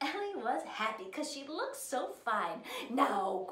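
Just an unforced reading voice

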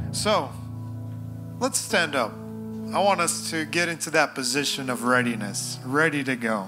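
Over clear music in the background, a man speaks at a fairly slow pace. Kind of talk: casual address to congregation. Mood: relaxed, joking. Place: church. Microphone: handheld.

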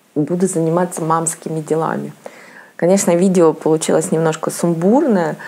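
Noticeable background noise surrounds a woman with a fairly low voice talking at a moderate pace. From Russia, Saint Petersburg. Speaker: lifestyle vlogger. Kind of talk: casual vlog monologue. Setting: at home. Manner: halting.

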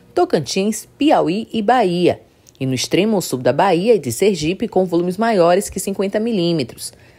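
A woman with a normal speaking voice, medium pitch, lively intonation and a moderate pace. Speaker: news reader. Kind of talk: scripted weather report read aloud, steady and formal. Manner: formal, even-paced, neutral newsreader delivery.

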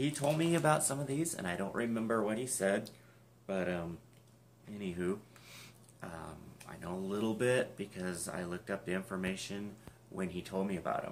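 The speaker mumbles quietly, leaving long, frequent pauses. Light background noise can be heard. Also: man, fairly low pitch for a man, lively intonation, moderate pace. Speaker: YouTuber unboxing music collectibles. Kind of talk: casual unboxing video. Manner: mumbling. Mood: cheerful, enthusiastic. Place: home room. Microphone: webcam.

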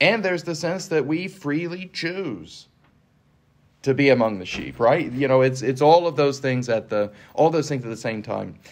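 A man with lively intonation at a moderate pace. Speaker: Episcopal priest. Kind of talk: scripture reading and casual discussion. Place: meeting room.

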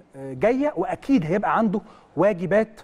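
Using an Egyptian accent, a man speaks at a high pitch and a moderate pace with lively intonation. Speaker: football analyst. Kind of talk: studio match analysis. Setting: studio.

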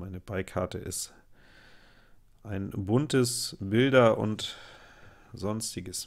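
Recorded very clean against a silent background, a man speaks with fairly even intonation. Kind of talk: live gameplay commentary. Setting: at home. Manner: casual, chatty.

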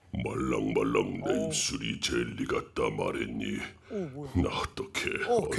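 A raspy put-on character voice from a man, delivered at a fairly slow pace. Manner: cutesy lines delivered in a monster voice.

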